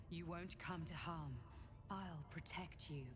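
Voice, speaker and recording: A put-on character voice at a middle pitch and a fairly slow pace, over loud background noise. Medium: video game. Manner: calm, soothing.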